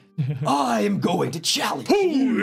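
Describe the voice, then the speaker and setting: Over faint background music, a man does a put-on character voice at a fairly high pitch and a fairly slow pace. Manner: macho, challenging.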